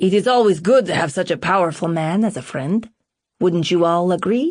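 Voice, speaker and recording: A woman uses a put-on character voice at a medium pitch with ordinary pitch variation. She keeps a moderate pace and very even loudness over a quiet background. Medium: read story. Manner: smooth, jovial.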